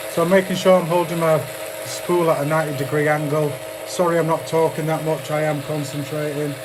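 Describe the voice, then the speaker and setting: A fairly quick speaker with a British accent talks over noticeable background noise. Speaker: streamer building vape coils. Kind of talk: live stream tutorial chat. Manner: loud.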